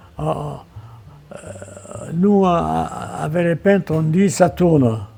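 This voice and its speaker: A man's fairly high-pitched voice comes through noticeable background noise. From Marseille, France. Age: 80s+. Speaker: painter and visual artist. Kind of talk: interview answer.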